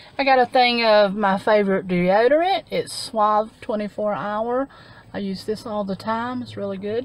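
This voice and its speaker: The sound is dry with no echo as a woman talks at a moderate pace with ordinary pitch variation. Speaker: haul vlogger. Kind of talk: casual vlog chat. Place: car. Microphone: phone near.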